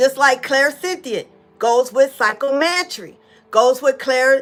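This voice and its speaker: A woman with a high voice speaks at a very slow pace, with ordinary pitch variation. The recording is very clean, with a silent background. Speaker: psychic medium teaching spiritual abilities. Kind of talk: informal teaching talk. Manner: casual, repetitive fillers.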